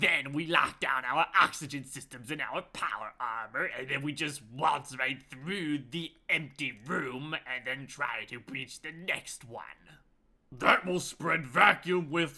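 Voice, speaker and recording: Using a put-on character voice at a fairly high pitch, a man talks at a fairly slow pace with hardly any pauses. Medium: actual play. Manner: commanding, self-assured.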